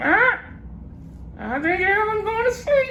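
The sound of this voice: Using a put-on character voice at an extremely high pitch, a man speaks at a moderate pace over clear background noise.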